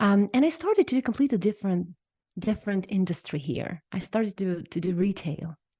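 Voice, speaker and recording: Somewhat breathy and dark, mellow in tone, a woman's medium-pitched voice runs at a fairly quick pace with lively intonation, recorded dry and close with no echo over a quiet background. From Ukraine, small town. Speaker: hypnotherapist. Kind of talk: podcast interview.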